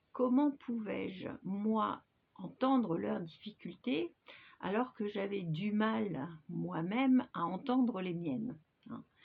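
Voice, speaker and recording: A woman's medium-pitched voice with lively intonation at a very slow pace. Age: 60s. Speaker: hypnosis practitioner. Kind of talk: personal testimony to camera. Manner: hesitant, many filler sounds.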